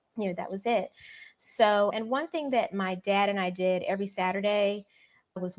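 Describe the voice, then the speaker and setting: A woman speaks with an American accent at a moderate pace. It is a plain, everyday voice with ordinary pitch variation. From Florida. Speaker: novelist. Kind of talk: interview. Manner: casual, uses many fillers.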